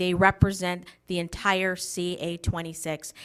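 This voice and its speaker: A woman's bright, sharp voice at medium pitch, on a very clean recording with a silent background. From Wisconsin, US Midwest. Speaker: political candidate. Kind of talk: campaign speech. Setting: candidate forum broadcast on local TV.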